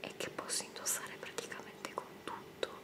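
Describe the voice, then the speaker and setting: A whispering woman. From Italy. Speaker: ASMR creator. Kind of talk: casual talk to camera, show and tell. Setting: indoor home recording. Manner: whispered, soft-spoken. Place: home room.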